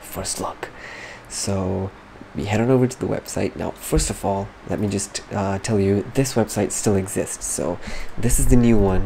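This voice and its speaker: Soft-spoken, a man with a fairly low pitch talks at a moderate pace over noticeable background noise. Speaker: gaming youtuber. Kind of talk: casual game news commentary. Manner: animated.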